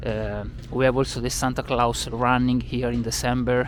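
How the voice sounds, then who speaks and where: Here a man speaks with an Italian accent. His pace is moderate. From Italy, Milan. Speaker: tour guide. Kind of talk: travel vlog. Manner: hesitant, many filler sounds.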